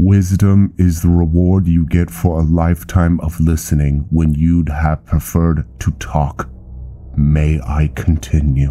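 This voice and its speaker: A man speaks in a put-on character voice, very deep and low in pitch, at a fairly slow pace over light background noise. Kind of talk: solemn fantasy roleplay. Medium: machinima. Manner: formal, authoritative, condescending.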